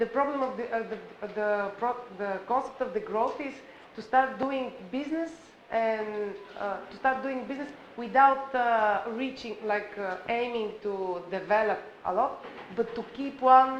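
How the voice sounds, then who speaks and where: Audible room echo surrounds a woman's fairly high voice. She speaks at a fairly slow pace. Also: ordinary pitch variation. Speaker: conference participant. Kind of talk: panel discussion. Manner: loud; halting.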